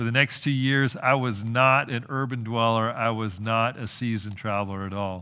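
With an American accent and a bright, sharp tone, a man speaks at medium pitch and a moderate pace with fairly even intonation, audible room echo around him. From California. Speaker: pastor. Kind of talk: sermon.

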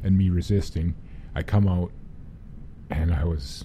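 A man's very deep, low voice in a Western Canadian accent, fairly slow and with fairly even intonation. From Prince George, British Columbia, Canada. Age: 50s. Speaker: person living with Alzheimer's. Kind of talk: casual interview. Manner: halting.

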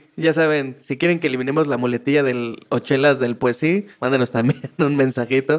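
A man with an unremarkable speaking voice, medium pitch, fairly even intonation and a moderate pace. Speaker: podcast co-host. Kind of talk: casual chat.

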